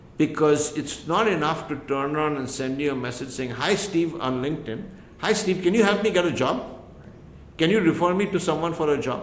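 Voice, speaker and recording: Audible room echo carries a man's fairly high-pitched voice. He moves at a fairly quick pace with ordinary pitch variation. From India. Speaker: entrepreneur and immigrant advocate. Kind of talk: podcast interview.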